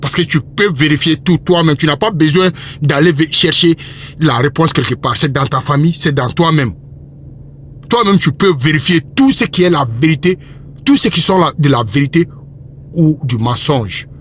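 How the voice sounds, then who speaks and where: Fairly high male voice at a moderate pace, with long, frequent pauses, very even loudness and noticeable background noise. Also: ordinary pitch variation. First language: Bambara (speaking French). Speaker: religious commentator. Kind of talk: religious monologue. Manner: impassioned.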